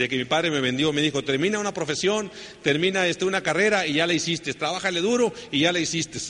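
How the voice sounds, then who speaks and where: A man talks at a fairly quick pace with a high pitch. Noticeable background noise is heard behind him. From northern Mexico, Sonora. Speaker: network marketing speaker. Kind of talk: motivational talk.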